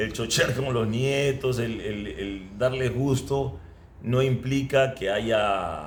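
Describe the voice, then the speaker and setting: A man with a Peruvian accent, somewhat breathy at medium pitch, very slow pace and ordinary pitch variation. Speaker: former footballer. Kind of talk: interview answer.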